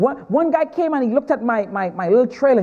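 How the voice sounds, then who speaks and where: A man with a Trinidadian accent talks at a moderate pace in an extremely high pitch. Noticeable background noise sits behind him. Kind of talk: stand-up.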